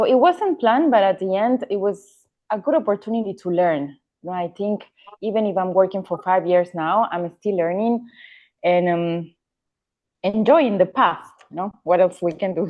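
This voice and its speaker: A woman with an Ecuadorian accent speaks at a medium pitch with ordinary pitch variation. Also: moderate pace. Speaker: real estate agent, former cabin crew. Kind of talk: podcast interview. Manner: halting.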